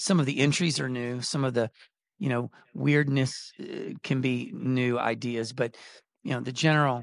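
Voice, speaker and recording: A man talks at a moderate pace and medium pitch. He has a plain, everyday voice. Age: 50s. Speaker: movement arts founder and jiu-jitsu teacher. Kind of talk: casual chat.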